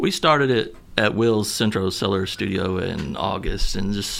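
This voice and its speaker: An American-accented man with fairly low pitch, against noticeable background noise. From southern Missouri. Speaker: musician. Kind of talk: radio interview.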